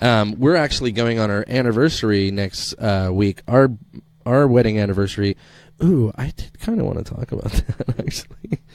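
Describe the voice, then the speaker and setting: At a moderate pace, a man speaks at a medium pitch. His intonation shows ordinary pitch variation. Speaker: podcast host. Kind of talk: casual chat. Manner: radio announcer style delivery.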